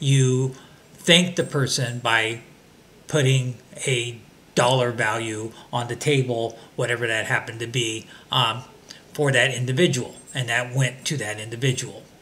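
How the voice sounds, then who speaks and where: A man with an American accent speaks with fairly even intonation and long, frequent pauses. Noticeable background noise sits behind him. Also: medium pitch for a man, fairly slow pace. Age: 60s. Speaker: vlogger. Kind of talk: casual monologue. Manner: hesitant, many fillers.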